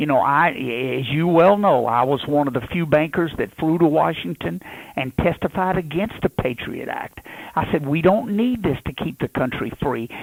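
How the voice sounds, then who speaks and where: A man in a Louisiana accent, fairly high in pitch, with lively intonation and a moderate pace. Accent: Southern US (Louisiana). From Louisiana, USA. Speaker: politician, presidential candidate. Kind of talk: radio interview answer.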